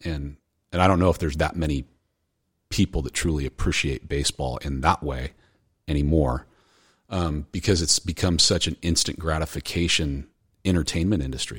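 With an American accent and vocal fry, the speaker talks at a moderate pace with fairly even intonation and long, frequent pauses. The sound is dry and close, with no echo. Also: man, very deep, low pitch for a man. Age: 40s. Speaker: college baseball coach. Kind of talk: casual chat.

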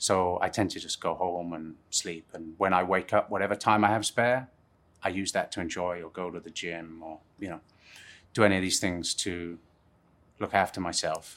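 A man with a southern English accent talks at a moderate pace in a very deep, low voice, his intonation fairly even but his loudness swinging widely. The recording is very clean with a silent background. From England, Plymouth and Surrey. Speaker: film sound recordist. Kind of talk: casual interview chat.

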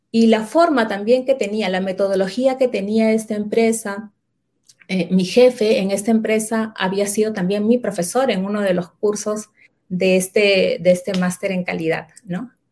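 Talking at a fairly slow pace, a woman with a Peruvian accent keeps a medium pitch and fairly even intonation. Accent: Peruvian Spanish (Lima). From Lima, Peru. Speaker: quality management consultant. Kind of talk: interview.

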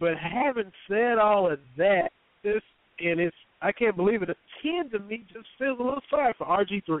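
A man with an American accent talks at a moderate pace. His pitch is high and his intonation lively. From Kentucky. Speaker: sports radio host. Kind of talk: casual sports talk.

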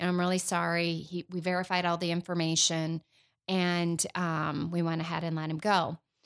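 In a very clean recording with a silent background, a woman with an American accent speaks at a moderate pace in a fairly low, monotone, flat voice. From Michigan. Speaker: former 911 director. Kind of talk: casual chat.

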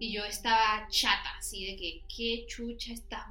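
Amid noticeable background noise and audible room echo, a woman speaks fairly slowly in a fairly high, monotone, flat voice. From Venezuela. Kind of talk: casual chat.

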